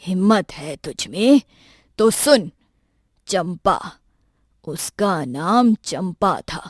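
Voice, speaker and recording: In a put-on character voice, a woman speaks at a medium pitch, raspy and weary in tone, at a very slow pace with long, frequent pauses. Her intonation is lively, her loudness swings widely, and the recording is very clean, with a silent background. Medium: cartoon. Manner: weary, grave.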